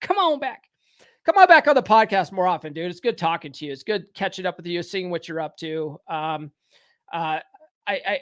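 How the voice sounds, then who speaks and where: In a very clean recording with a silent background and a dry, close sound without echo, a man with a high voice speaks at a moderate pace, his intonation lively and his loudness swinging widely. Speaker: podcast host. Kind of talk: casual chat. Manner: stammering.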